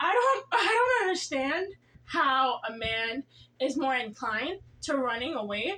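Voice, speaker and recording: A woman speaks at a fairly slow pace in a high pitch. Her voice is raised and projected. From Jamaica. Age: 20s. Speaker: relationship vlogger. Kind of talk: casual talk to camera.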